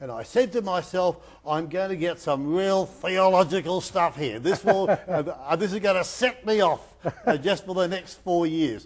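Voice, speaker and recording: With an Australian accent, a man talks at a moderate pace in a high pitch, with ordinary pitch variation. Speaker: sports chaplain. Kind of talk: interview. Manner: halting.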